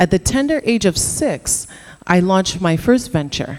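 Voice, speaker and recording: A woman with a Canadian accent speaks in an ordinary speaking voice at a moderate pace, her fairly low pitch carrying lively intonation. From Canada. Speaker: entrepreneur. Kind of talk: conference talk.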